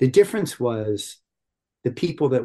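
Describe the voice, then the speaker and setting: A man with an American accent talks at a moderate pace in a medium-pitched, somewhat breathy voice with a dark, mellow tone. The background is quiet. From US, small town. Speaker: yoga teacher and social justice activist. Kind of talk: interview.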